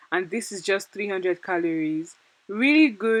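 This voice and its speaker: This woman speaks at a medium pitch with lively intonation. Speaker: cooking vlogger. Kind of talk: tutorial. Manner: fast; casual, chatty.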